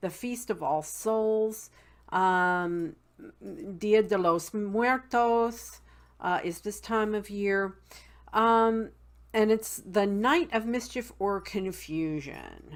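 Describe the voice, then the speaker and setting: A woman with an American accent speaks at a very slow pace in a medium pitch, with ordinary pitch variation. The recording is very clean, with a silent background. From West Virginia, Appalachian mountains. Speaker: witchcraft video blogger. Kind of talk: casual tutorial. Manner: many fillers (um, uh).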